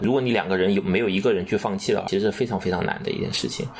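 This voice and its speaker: Against noticeable background noise, the speaker uses ordinary pitch variation. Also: man. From Guizhou, China (Guiyang). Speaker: podcast guest, father. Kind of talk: casual conversation. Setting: remote call across time zones.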